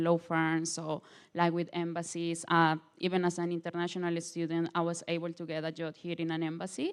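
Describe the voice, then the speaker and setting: In a Colombian accent, a woman speaks with a fairly low pitch and monotone, flat intonation on a very clean recording with a silent background. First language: Spanish. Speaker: international law student. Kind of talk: panel presentation. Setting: open day panel event. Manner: halting, many fillers.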